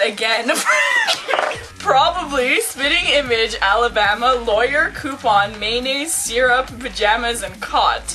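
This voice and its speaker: Over clear music in the background, a woman speaks at a very slow pace in a raised, projected voice. Her pitch is high, with ordinary pitch variation. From Quebec, Canada. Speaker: vlogger. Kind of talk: casual talk to camera. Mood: playful, giggly. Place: home room. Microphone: webcam.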